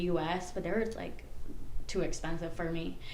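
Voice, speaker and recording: The recording has noticeable background noise. There is audible room echo as well. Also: woman. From Puerto Rico. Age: 20s. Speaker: social media creator and college student. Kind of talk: casual podcast interview.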